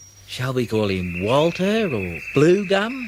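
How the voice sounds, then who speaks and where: Very wide pitch swings mark this very slow delivery, set against noticeable background noise. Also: man. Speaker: audiobook narrator. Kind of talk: children's audiobook reading.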